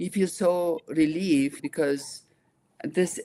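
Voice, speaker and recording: With an Iraqi accent, a woman speaks in a fairly low, dark, mellow voice with ordinary pitch variation. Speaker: nonprofit founder and engineer. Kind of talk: interview conversation.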